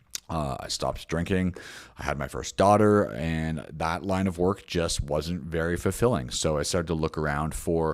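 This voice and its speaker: A very deep, low-pitched man with a Canadian accent and ordinary pitch variation. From Canada, Toronto. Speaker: business founder and grooming course instructor. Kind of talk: sales pitch. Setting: recorded video call. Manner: casual, with frequent fillers.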